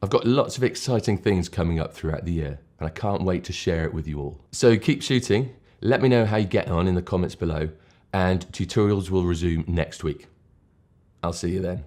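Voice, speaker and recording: A man's very deep, low voice with a dark, mellow tone at a fairly quick pace, ordinary pitch variation and a very clean recording with a silent background. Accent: British. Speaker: photography tutorial maker. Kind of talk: casual talk to camera.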